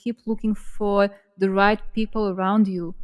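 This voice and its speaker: A woman with a non-native accent talks at a very slow pace in a medium pitch, her intonation fairly even. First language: not English. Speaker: podcast co-host. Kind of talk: casual chat.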